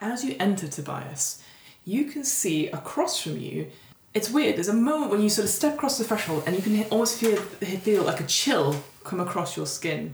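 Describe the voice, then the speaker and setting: Noticeable background noise sits under a woman's medium-pitched voice. She talks at a moderate pace with very wide pitch swings. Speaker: podcast host and game master. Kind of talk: horror tabletop narration, scene-setting description read as a game master. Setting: tabletop game session recorded for podcast. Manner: descriptive and vivid, storytelling pace.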